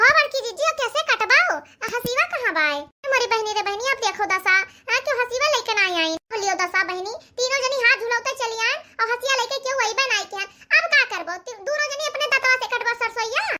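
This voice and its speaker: A woman's cartoonish character voice, extremely high-pitched with lively intonation. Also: moderate pace. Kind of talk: comic cartoon sketch acting. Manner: chatty, bickering.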